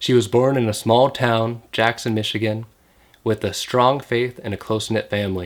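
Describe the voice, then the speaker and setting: A man talks in an ordinary speaking voice at a moderate pace. His intonation is fairly even. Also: medium pitch for a man. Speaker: podcast host. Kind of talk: podcast intro.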